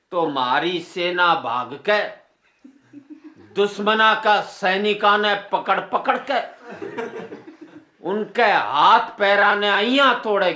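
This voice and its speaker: A high-pitched man uses a raised, projected voice with a Haryanvi accent. His intonation is lively, with long, frequent pauses. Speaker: comic poet. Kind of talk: comic poetry performance.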